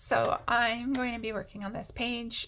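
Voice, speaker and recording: At a moderate pace, a woman speaks with noticeable background noise present. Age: 40s. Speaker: craft YouTuber. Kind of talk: casual chat while colouring. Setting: home apartment, camera. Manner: hesitant, many fillers.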